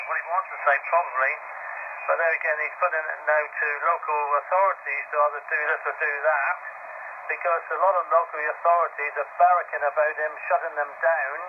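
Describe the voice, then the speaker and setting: Over noticeable background noise, a man with a fairly high pitch speaks at a fairly quick pace in a flat monotone. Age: 70s. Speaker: amateur radio operator. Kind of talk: radio contact chat. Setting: ham radio contact.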